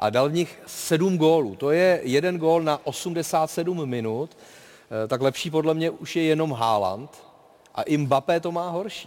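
At a fairly high pitch, a man talks in an ordinary speaking voice. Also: ordinary pitch variation, fairly slow pace. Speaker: talk show host. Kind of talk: football talk show. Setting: studio with live audience.

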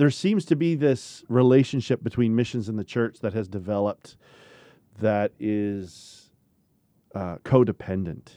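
A man talks at a fairly slow pace with a medium pitch, ordinary pitch variation and a dark, mellow tone, in a dry, close sound with no echo. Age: 40s. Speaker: podcast host, Bible camp ministry leader. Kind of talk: casual discussion. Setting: studio.

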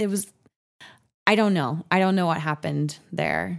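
In an American accent, a woman with a plain, everyday voice talks at a moderate pace, fairly low in pitch with ordinary variation. The recording is very clean, its background silent. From Washington State, Seattle area. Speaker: podcast guest sharing personal story. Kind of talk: casual storytelling interview.

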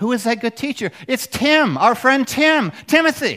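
Bright and sharp in tone, a man's voice is raised and projected. He speaks at a fairly slow pace. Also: very clean recording, silent background. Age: old. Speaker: pastor. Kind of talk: sermon. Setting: church. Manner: animated.

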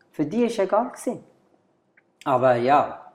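A man speaks with a Bengali accent. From Bangladesh. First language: Bengali (speaking German). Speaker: bar and club owner. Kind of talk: interview. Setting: at a bar.

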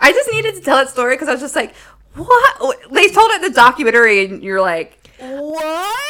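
A woman's high, raised and projected voice at a fairly quick pace, with very wide pitch swings and noticeable background noise. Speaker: podcast co-host. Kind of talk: casual chat.

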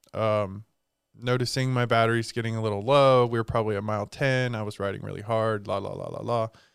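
A man talks at a very fast clip in a medium register, his delivery monotone and flat. The recording is very clean, with a silent background. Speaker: co-host, small business co-owner. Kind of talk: casual chat.

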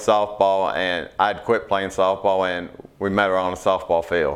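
Here a man speaks with a Kentucky accent. His pace is fairly slow. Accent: Kentucky Southern American. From Kentucky, Hardin County area. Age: 40s. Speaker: farmer and co-op board director. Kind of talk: interview.

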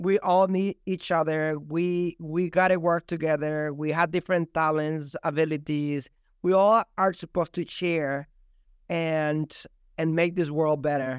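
A man with a Spanish accent at a fairly slow pace, monotone and flat, in a dry, close sound with no echo over a quiet background. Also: fairly high pitch for a man. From El Salvador. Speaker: real estate agent and team leader. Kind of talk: casual interview chat.

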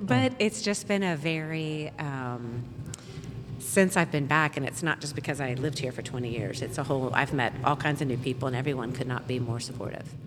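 A woman with an American accent, very deep and low in pitch, at a fairly quick pace with ordinary pitch variation. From US South, Florida (Pensacola). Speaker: businesswoman. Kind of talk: casual chat. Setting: live recording at a bar.

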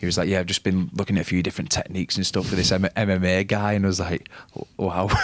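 A man with a northern English accent and a very deep, low pitch, at a very fast pace, monotone and flat, with very even loudness, a dry, close sound with no echo and noticeable background noise. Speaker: rugby league player. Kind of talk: casual sports chat.

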